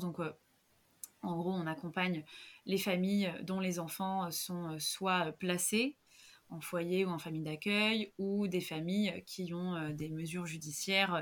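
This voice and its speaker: Fairly low-pitched woman, fairly slow pace and fairly even intonation, on a very clean recording with a silent background. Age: 30s. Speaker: yoga teacher and social worker. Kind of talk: casual interview.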